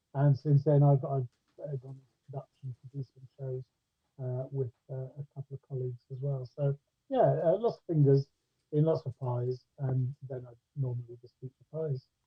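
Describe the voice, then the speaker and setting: With big swings in loudness, a man talks at a moderate pace in a somewhat breathy, medium-pitched voice with fairly even intonation. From Scotland, Ayrshire, west coast. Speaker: actor and director. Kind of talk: casual interview chat. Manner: hesitant, many fillers.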